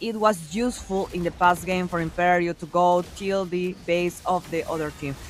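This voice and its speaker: The speaker talks in a Spanish accent with an animated tone. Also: woman. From Peru. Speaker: esports caster. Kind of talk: live commentary.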